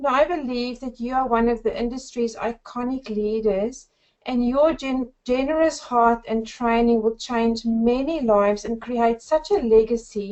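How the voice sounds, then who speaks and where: A woman with a South African accent speaks in a high voice. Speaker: network marketer. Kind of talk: webinar presentation. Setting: webinar.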